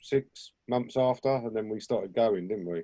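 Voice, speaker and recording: Speaking with a London accent, a man uses a dark, mellow tone at a medium pitch and a moderate pace, with ordinary pitch variation. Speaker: punk musician. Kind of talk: interview. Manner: hesitant, many fillers.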